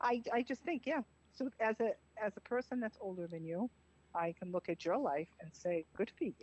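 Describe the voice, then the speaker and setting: A woman with a strong Boston accent, a fairly high pitch, very wide pitch swings, a moderate pace and a dry, close sound with no echo. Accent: heavy Boston-area. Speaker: caller. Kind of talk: casual chat.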